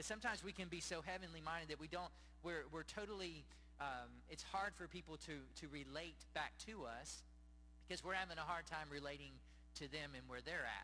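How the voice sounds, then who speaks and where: Male speech, neither fast nor slow, over faint background noise. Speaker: pastor. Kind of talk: sermon. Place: church. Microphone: handheld.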